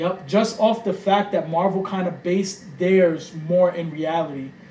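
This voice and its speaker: A man's high voice with a New York accent, fairly even intonation and a fairly slow pace, with audible room echo and noticeable background noise. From New York, the Bronx. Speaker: podcast host. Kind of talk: casual chat. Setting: home room.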